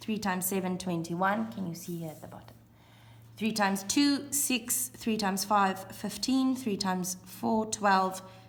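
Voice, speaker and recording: At a moderate pace, a woman with a medium-pitched, somewhat breathy voice speaks with lively intonation and big swings in loudness, and the room echo is audible. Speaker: primary school teacher. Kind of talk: classroom video lesson.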